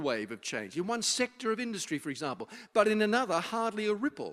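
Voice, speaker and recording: Over a silent background on a very clean recording, a high-pitched man with an Australian accent talks with lively intonation. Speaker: social futurist, speaker. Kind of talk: public talk to students. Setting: university event with live audience.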